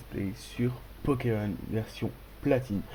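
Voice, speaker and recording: Noticeable background noise surrounds a man whose pitch varies in an ordinary way. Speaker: gaming youtuber. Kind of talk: let's play commentary. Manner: animated.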